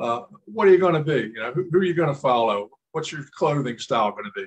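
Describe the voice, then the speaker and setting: A man talks at a fairly quick pace in a plain, everyday voice, his intonation lively. The sound is dry and close, with no echo. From Maryland, Howard County. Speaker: interviewee, local resident. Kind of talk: interview.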